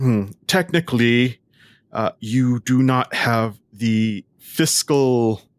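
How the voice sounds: The intonation of this natural reading voice stays fairly even, with the background quiet.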